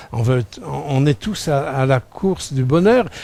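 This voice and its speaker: Lively intonation runs through this man's dark, mellow tone. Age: 60s. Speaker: preacher. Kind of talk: sermon. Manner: halting.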